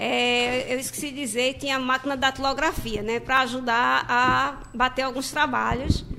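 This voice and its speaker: A woman speaks at a moderate pace with a raised, projected voice and a high pitch. Her intonation is monotone and flat, with noticeable background noise behind her. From Gravatá, Pernambuco. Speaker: court employee and braille teacher. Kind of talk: radio interview.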